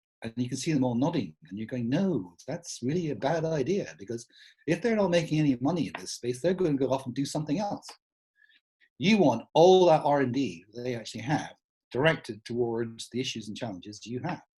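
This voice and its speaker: His somewhat breathy voice has a dark, mellow tone and a medium pitch. The man talks at a fairly quick pace with lively intonation. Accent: Scottish. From Scotland, Edinburgh. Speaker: smart city speaker, former tech company employee. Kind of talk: conference talk. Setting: online event. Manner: casual, conversational.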